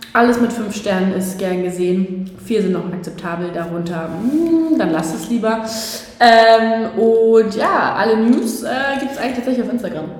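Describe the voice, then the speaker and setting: Animated in tone, a woman speaks at a fairly slow pace with ordinary pitch variation. Audible room echo and noticeable background noise surround her. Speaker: podcast co-host. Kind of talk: casual chat. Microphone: room echo, not the proper microphone.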